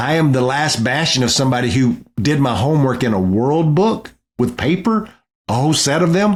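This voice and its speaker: In a very clean recording with a silent background, a man with an American accent and a fairly high pitch talks at a fairly quick pace, with very wide pitch swings and very even loudness. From East Texas. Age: 50s. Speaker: political strategist. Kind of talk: interview. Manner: casual.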